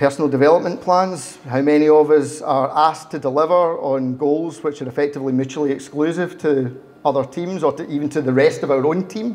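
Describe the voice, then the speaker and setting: Speaking at a fairly quick pace, a man with a Glaswegian accent has a fairly high pitch. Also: ordinary pitch variation, hardly any pauses. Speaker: agile consultant, speaker. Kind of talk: meetup talk. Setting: meetup with live audience.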